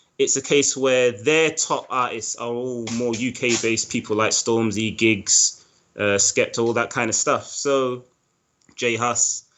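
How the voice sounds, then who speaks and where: With a London accent, a man of medium pitch speaks at a fairly slow pace. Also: fairly even intonation. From East London, England. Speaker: animator. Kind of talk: interview.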